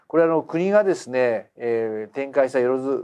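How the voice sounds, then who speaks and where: Against a quiet background, a man's voice has a dark, mellow tone. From Japan. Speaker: business educator, channel host. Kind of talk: lecture. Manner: conversational, frequent fillers.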